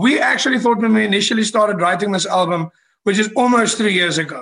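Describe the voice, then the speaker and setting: A man's raised, projected voice, high-pitched with a bright, sharp tone, in a South African accent, with ordinary pitch variation at a moderate pace. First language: Afrikaans. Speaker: rock band frontman. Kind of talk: podcast interview. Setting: video call.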